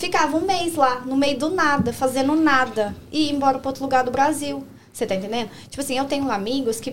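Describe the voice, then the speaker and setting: Over noticeable background noise, a woman with a high voice talks at a fairly quick pace. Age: 20s. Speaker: nail technician. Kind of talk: casual chat.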